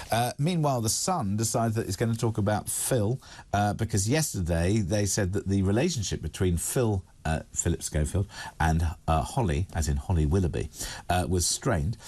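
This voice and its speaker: A man speaks with lively intonation in a fairly low, dark, mellow tone. His voice is somewhat breathy, with very even loudness over a quiet background. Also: moderate pace. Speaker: radio and TV presenter. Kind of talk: live news discussion, paper review.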